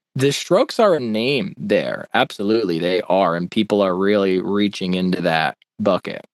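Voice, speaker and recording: A man with an American accent has an ordinary speaking voice, fairly low in pitch with ordinary pitch variation, speaking with hardly any pauses in a dry, close sound with no echo. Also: moderate pace. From upstate New York. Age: 20s. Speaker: music educator and online creator. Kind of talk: casual chat.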